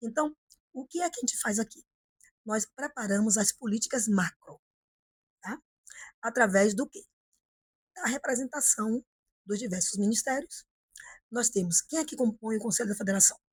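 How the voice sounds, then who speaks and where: A woman's somewhat breathy, fairly high voice with lively intonation, big swings in loudness and long, frequent pauses, in a dry, close sound with no echo. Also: moderate pace. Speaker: politician. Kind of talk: interview. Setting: office.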